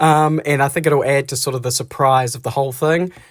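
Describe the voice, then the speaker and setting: Talking at a fairly quick pace, a man in a New Zealand accent has a fairly high, somewhat breathy voice. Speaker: vlogger, single father. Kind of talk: casual vlog narration. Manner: whispering.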